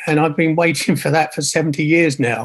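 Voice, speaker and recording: Over a quiet background, a man with a southern English accent talks at a moderate pace in a fairly high pitch. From Kent, England. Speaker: retired engineer, churchgoer; interview guest. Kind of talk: casual interview. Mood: reflective, calm. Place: home room. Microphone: video call.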